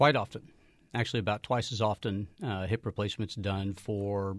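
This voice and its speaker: In a dry, close sound with no echo and a quiet background, a man with a fairly low pitch talks at a fairly quick pace with fairly even intonation in a plain, everyday voice. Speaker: orthopedic surgeon. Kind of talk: radio interview. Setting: studio.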